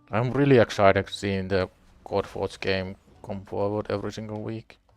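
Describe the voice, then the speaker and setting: Over music in the background, a man speaks fairly slowly at a fairly low pitch. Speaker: gaming livestreamer. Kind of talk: casual livestream chat. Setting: live stream with music playing.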